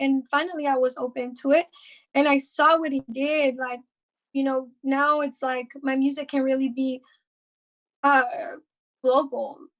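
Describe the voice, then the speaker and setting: In a slight Mexican accent, a woman speaks with a high pitch and monotone, flat intonation, leaving long, frequent pauses. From Mexico. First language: Spanish. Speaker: rapper. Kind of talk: casual podcast interview.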